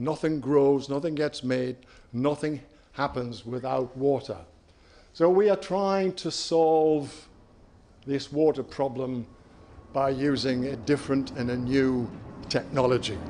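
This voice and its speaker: A man with a British accent speaks at a fairly slow pace in a dark, mellow tone, his pitch fairly high and his pitch variation ordinary, with long, frequent pauses. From UK. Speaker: company CEO. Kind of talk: conference presentation.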